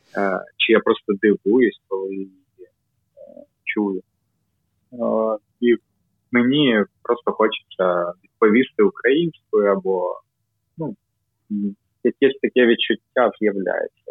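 With a Russian accent, a man speaks at a very slow pace, with long, frequent pauses and big swings in loudness. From Kyiv, Ukraine. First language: Russian (speaking Ukrainian). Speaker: amateur cycling team member. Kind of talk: casual chat. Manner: halting.

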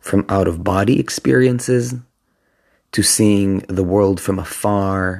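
Against a silent background in a very clean recording, a man with a fairly low pitch speaks at a very slow pace. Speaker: numerology podcaster and spiritual teacher. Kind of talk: solo monologue. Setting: podcast recording. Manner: occasional throat clearing and coughing.

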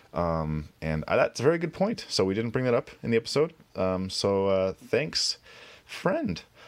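This man has a medium-pitched voice. His pitch swings very widely. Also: moderate pace. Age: 30s. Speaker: podcast co-host. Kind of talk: casual chat.

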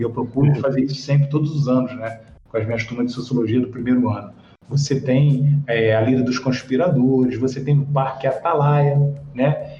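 A man speaks in a monotone, flat delivery at a fairly quick pace. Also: medium pitch for a man. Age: 50s. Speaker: sociology teacher. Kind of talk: interview.

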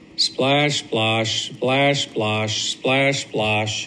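Noticeable background noise is heard as a man talks very slowly. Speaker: grandfather. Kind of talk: bedtime story read aloud to a child, recorded as a video message. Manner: animated, playful, with sound-effect noises and dramatic pauses; warm, sing-song repetition with a gentle, coaxing tone.

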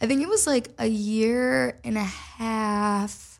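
On a very clean recording with a silent background, a woman with an American accent has an unremarkable speaking voice, fairly high in pitch, with ordinary pitch variation. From Minnesota, US Midwest. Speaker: singer and mental health advocate. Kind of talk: casual chat.

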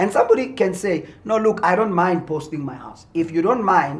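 A man talks at a fairly quick pace, somewhat breathy, with lively intonation. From South Africa, Mpumalanga. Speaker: pastor and businessman. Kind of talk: interview. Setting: studio.

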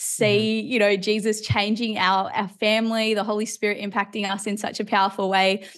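Against a quiet background, a woman with an Australian accent speaks at a medium pitch and a moderate pace, with monotone, flat intonation and hardly any pauses. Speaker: preacher and Bible teacher. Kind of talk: interview conversation. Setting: video call.

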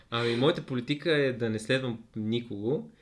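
A man speaks with an unremarkable speaking voice at medium pitch. His pace is moderate and his intonation fairly even. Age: 30s. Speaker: podcast guest. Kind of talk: casual chat.

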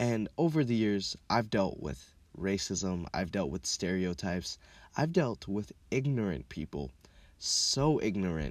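In a very clean recording with a silent background, a man with a fairly low pitch speaks at a fairly slow pace with very wide pitch swings. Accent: American. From Minneapolis, Minnesota (also childhood in Kenya). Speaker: podcast host. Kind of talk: casual monologue. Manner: animated.

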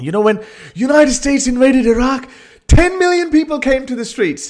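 Moderate pacing from a man's voice. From Pakistan (Lahore). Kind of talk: casual chat.

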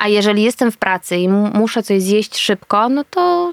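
A woman talks in a fairly high pitch. The sound is dry and close, with no echo. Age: 30s. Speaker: actress and reporter. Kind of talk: casual chat. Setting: eating while talking.

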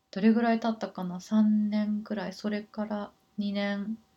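This woman speaks at a fairly slow pace. Her medium-pitched voice is somewhat breathy. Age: 30s. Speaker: life coach. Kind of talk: casual monologue. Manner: hesitant.

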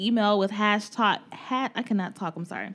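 A woman speaks in a normal speaking voice at a moderate pace. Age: 20s. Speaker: podcast host. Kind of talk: casual chat.

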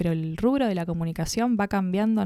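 A woman's plain, everyday voice at medium pitch and moderate pace, with lively intonation, in a very clean recording with a silent background and a dry, close sound with no echo. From Buenos Aires, Argentina. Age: 20s. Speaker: content creator. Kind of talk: casual chat.

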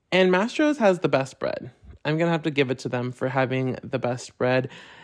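A woman's animated voice at a fairly quick pace, with lively intonation. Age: 20s. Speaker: podcast host. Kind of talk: casual chat.

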